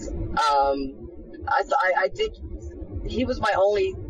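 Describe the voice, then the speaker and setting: With an American accent, a woman talks against noticeable background noise. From Florida, US. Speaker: homeless woman telling her story. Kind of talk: testimony. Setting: outdoors.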